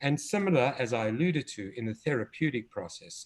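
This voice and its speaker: In a South African accent, a man speaks with lively intonation. His voice is somewhat breathy. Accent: South African, noticeable. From South Africa, Cape Town. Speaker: developmental pediatrician and children's author. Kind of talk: interview conversation. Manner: hesitant, many fillers.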